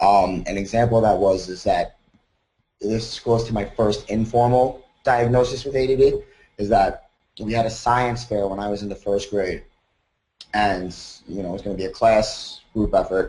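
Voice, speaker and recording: With an American accent, a man of medium pitch speaks at a moderate pace in a dark, mellow, somewhat breathy tone with fairly even intonation. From US Northeast, Long Island, New York. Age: 30s. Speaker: college student. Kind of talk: personal testimony. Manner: casual, with fillers.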